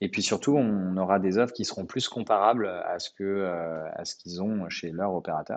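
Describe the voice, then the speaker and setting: A man with a fairly low pitch and an ordinary speaking voice talks at a moderate pace with ordinary pitch variation against a quiet background. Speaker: entrepreneur. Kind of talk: podcast interview.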